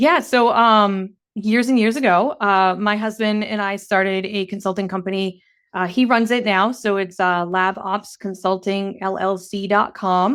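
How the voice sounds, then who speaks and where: A woman speaks at a medium pitch on a very clean recording with a silent background. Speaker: operations and facilities professional. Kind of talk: podcast interview. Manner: fast; animated.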